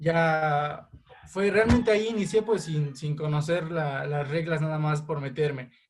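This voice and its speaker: Fairly slow speech comes from a man. He has a fairly high pitch that varies in an ordinary way. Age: 20s. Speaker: amateur football referee. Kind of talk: interview. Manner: halting.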